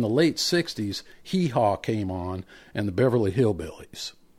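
With an American accent, a man talks at a moderate pace in a plain, everyday voice. His intonation is lively. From Indiana, US Midwest. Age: 50s. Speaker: podcast host, bluegrass musician. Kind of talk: casual chat. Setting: online call.

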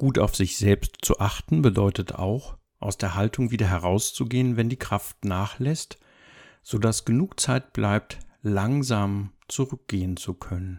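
A normal speaking voice moves at a fairly slow pace with ordinary pitch variation. The recording is very clean and dry, close with no echo, over a silent background. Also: man, fairly low pitch for a man. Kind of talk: guided meditation. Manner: slow, calm, soothing; gentle, unhurried with long pauses.

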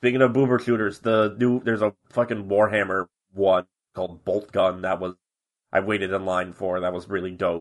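Here is a man with a plain, everyday voice and a fairly low pitch. He talks at a moderate pace with fairly even intonation. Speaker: podcast co-host. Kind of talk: casual chat.

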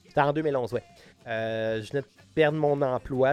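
Music plays in the background while a man talks in a Quebec accent. His pitch is medium and his intonation fairly even. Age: 30s. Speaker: musician. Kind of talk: casual interview.

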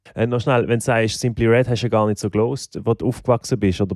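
This man has a fairly low voice with a dark, mellow tone and fairly even intonation. The sound is dry and close, with no echo. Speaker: podcast host, musician. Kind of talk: casual interview. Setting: home studio.

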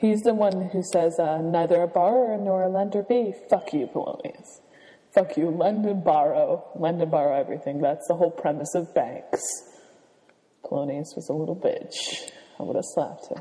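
This soft-spoken woman has a dark, mellow tone and a medium pitch. Her pitch varies in the ordinary way, and her pace is moderate. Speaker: podcast co-host. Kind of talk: casual chat.

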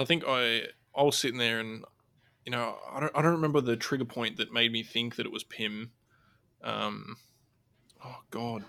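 A man with an Australian accent speaks at a moderate pace, his medium-pitched voice bright and sharp in tone with fairly even intonation. Long pauses come often, and the recording is very clean with a silent background. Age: 20s. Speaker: podcast host, guest. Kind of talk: casual chat.

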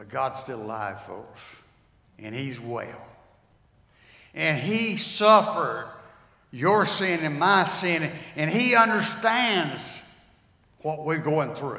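With a North Carolina accent, a man with a fairly high voice talks at a very slow pace, his pitch swinging very widely and his loudness swinging greatly, with long, frequent pauses. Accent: Southern US (North Carolina). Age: 80s+. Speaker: retired pastor. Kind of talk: sermon. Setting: church.

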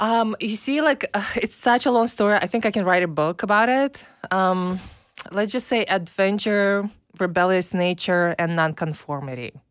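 A woman with a Belarusian accent speaks at a medium pitch and a moderate pace, her loudness very even and her intonation lively, on a very clean recording with a silent background. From Belarus, Minsk. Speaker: online marketer and podcast co-host. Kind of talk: interview.

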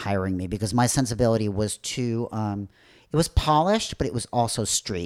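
A man's plain, everyday voice at a medium pitch, fairly quick pace and ordinary pitch variation. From US Midwest, Chicago north shore. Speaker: club promoter and film producer. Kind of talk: casual interview.

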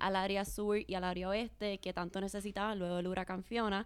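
In a plain, everyday voice, a woman talks at a fairly quick pace and medium pitch with fairly even intonation. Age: young. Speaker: marketing director. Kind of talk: interview.

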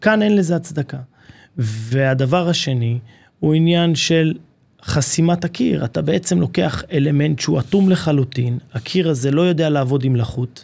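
Somewhat breathy and fairly high, a man's voice moves at a moderate pace with lively intonation and very even loudness. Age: 30s. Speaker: construction company marketing manager. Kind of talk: casual interview. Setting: studio.

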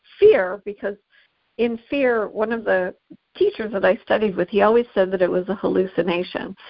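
The woman's voice is medium in pitch. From Canada. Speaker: podcast host. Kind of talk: casual chat. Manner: animated.

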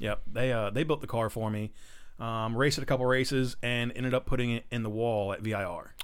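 A plain, everyday voice from a man at medium pitch, delivered at a fairly quick pace with fairly even intonation. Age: 30s. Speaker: amateur race car driver. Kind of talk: casual chat.

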